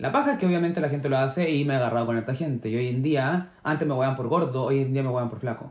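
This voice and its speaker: Man at medium pitch, very fast pace, hardly any pauses and ordinary pitch variation. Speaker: podcast co-host. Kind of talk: casual chat.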